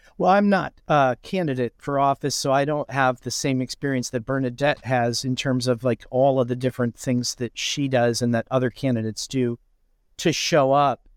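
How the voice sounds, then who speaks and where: With a Midwestern US accent, a man speaks at a moderate pace and medium pitch with fairly even intonation, in a dry, close sound with no echo. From Indiana, lives in Iowa. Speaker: writing professor and musician. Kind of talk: interview, casual conversation.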